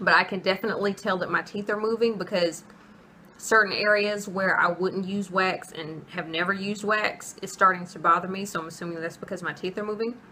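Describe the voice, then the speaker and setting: Speaking at a fairly quick pace with fairly even intonation, a woman of medium pitch shows big swings in loudness over noticeable background noise. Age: adult. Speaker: vlogger. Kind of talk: casual vlog monologue. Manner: casual, halting with self-corrections.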